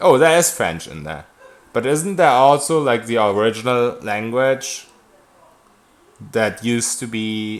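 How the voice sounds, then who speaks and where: Speaking with a German accent, a man talks fairly slowly at a medium pitch, with lively intonation, long, frequent pauses and big swings in loudness. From Germany. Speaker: video game streamer. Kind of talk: live gameplay stream, reading and answering chat. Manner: casual, conversational.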